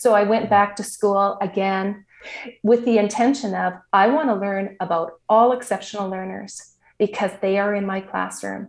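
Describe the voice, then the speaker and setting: Against a quiet background, a woman with a Canadian accent uses an ordinary speaking voice at a moderate pace, with a medium pitch and fairly even intonation. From Saskatchewan, Canada. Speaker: teacher. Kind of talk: interview.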